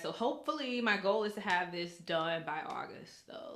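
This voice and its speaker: A woman speaks at a moderate pace with lively intonation and big swings in loudness. There is noticeable background noise. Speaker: interviewer making a storytelling project.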